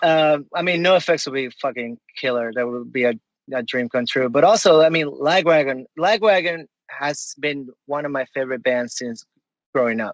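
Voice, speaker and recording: A man with a Spanish accent talks at a moderate pace and fairly high pitch with ordinary pitch variation, in a dry, close sound with no echo. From Venezuela. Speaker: punk musician. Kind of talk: casual chat.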